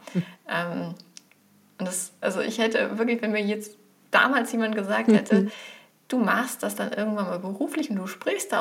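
Amid noticeable background noise, a woman with a fairly high pitch talks at a moderate pace with ordinary pitch variation. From Germany, village. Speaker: professor of digital marketing. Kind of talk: casual interview.

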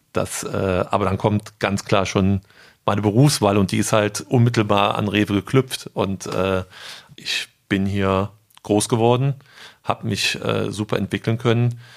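A man speaks with a fairly low pitch and fairly even intonation. His pace is fairly slow, with long, frequent pauses. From Germany, Rhineland (Eschweiler). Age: 30s. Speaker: retail sales manager. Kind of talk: interview. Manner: hesitant, many fillers.

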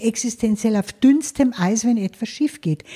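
Somewhat breathy, with a dark, mellow tone and lively intonation. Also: woman, dry, close sound with no echo. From Lower Bavaria, Germany. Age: 70s. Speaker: financial advisor. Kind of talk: interview. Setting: her office.

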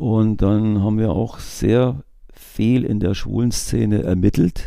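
There is noticeable background noise as a man talks in a fairly low pitch. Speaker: retired police investigator. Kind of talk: interview.

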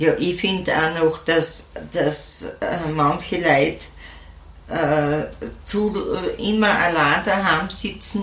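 With an Austrian accent, the speaker goes at a very slow pace, leaving long, frequent pauses. Audible room echo surrounds the voice. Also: woman, fairly low pitch for a woman, ordinary pitch variation. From Austria, Styria. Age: old. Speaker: senior horse rider and podcaster. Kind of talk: interview. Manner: halting.

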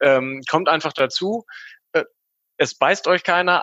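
This is an ordinary speaking voice at a fairly slow pace with ordinary pitch variation. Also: man. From grew up abroad in many countries. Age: 20s. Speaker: infrastructure engineer. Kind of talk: casual chat.

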